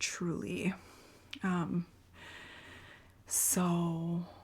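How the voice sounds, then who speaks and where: Soft-spoken whispering on a very clean recording with a silent background. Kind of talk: ASMR TV recap. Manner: whispered, soft-spoken; casual, chatty.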